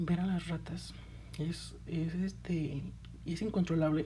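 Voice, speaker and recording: A woman with a Mexican accent, speaking at a very slow pace. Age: 20s. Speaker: podcast host. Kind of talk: casual monologue.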